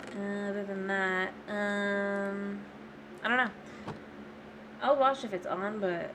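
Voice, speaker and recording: Someone mumbles with an American accent at a very slow pace, leaving long, frequent pauses. The intonation stays fairly even, and audible room echo surrounds the voice. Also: woman, medium pitch for a woman. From Florida, US. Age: 20s. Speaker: gaming streamer. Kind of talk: casual live-stream chat. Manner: mumbling; hesitant, many fillers.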